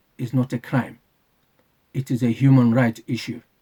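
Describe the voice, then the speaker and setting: Somewhat breathy, a man's dark, mellow tone sounds dry and close with no echo. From UK. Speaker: channel owner, political commentator. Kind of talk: prepared monologue, advocacy announcement. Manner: formal.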